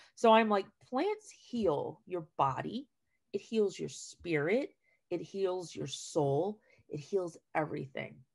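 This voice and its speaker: A woman with an American accent talks at a very slow pace. Her intonation is lively against a quiet background. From New Jersey. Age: 40s. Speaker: retired teacher and school garden educator; retired teacher, school garden educator. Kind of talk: casual chat. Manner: talkative. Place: home room. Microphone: video call.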